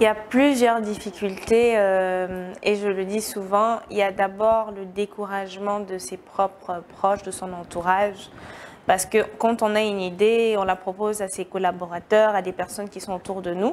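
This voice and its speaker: The voice is monotone and flat at a fairly slow pace, with big swings in loudness. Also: woman, medium pitch for a woman. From West Africa. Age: 20s. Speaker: entrepreneur. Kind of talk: TV interview.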